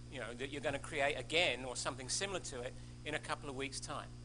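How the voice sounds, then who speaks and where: There is audible room echo. A man speaks with an Australian accent. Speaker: scientist, invited speaker. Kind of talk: lecture. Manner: halting, many false starts.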